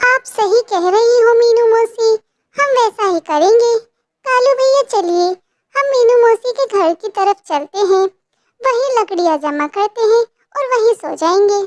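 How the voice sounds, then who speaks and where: In a cartoonish character voice with extremely high pitch, a woman speaks at a moderate pace with lively intonation and a gentle tone, the sound dry and close with no echo. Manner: gentle, polite.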